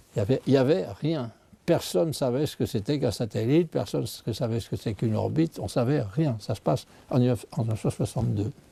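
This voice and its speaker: A medium-pitched man speaks with a dark, mellow tone and vocal fry. His pace is moderate and his intonation lively. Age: 80s+. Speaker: scientist. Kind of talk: interview. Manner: halting.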